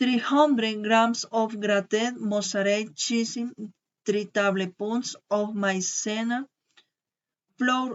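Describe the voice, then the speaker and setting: A woman speaks at a very slow pace with a fairly high pitch, fairly even intonation, and long, frequent pauses. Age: 20s. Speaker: student. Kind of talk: language class recording, self-introduction and recipe. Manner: halting.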